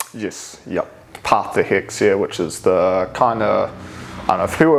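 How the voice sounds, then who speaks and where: Noticeable background noise sits behind a man talking at a moderate pace in a fairly low pitch. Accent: New Zealand. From New Zealand, Hamilton. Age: 20s. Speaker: mixed martial arts fighter. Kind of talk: casual chat.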